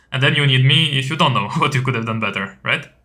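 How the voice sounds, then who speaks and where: A man at a very fast pace, medium-pitched, with fairly even intonation and music in the background. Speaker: CS2 coach. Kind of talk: coaching session. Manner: loud.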